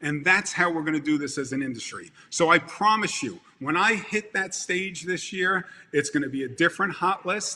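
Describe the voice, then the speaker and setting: A man with a Brooklyn accent, fairly high pitch, a bright, sharp tone, ordinary pitch variation and a moderate pace. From Brooklyn, New York. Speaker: event industry speaker. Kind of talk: motivational speech. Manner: animated.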